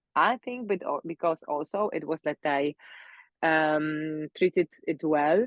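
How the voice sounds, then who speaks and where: With a Polish accent and a very deep, low pitch, a woman speaks at a fairly slow pace. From Poland. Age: 30s. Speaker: pilates instructor and mobility coach. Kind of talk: live talk interview. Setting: live stream. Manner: halting, many fillers.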